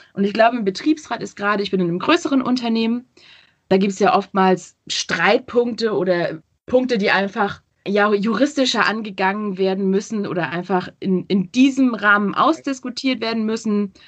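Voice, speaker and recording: This woman talks at a moderate pace with a medium pitch and ordinary pitch variation. Hers is an unremarkable speaking voice. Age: 20s. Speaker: social media professional. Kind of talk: interview. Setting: video call. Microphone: poor sound quality via video call.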